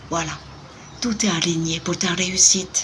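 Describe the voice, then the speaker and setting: The speaker is soft-spoken and talks at a very slow pace. Noticeable background noise runs underneath. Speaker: tarot card reader. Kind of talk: card reading.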